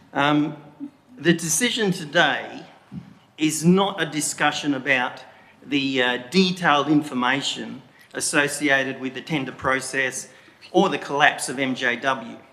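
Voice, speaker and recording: Fairly high male voice, fairly slow delivery, clearly audible background noise and audible echo from the room. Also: ordinary pitch variation. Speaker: member of the public making a statement. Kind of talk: public statement at council meeting. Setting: council chamber meeting. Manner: deliberately slow.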